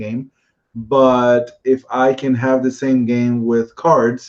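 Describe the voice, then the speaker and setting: A man is speaking. He talks with a Spanish accent. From Puerto Rico. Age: 30s. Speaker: board game designer. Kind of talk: interview. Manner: halting, many fillers and repeats.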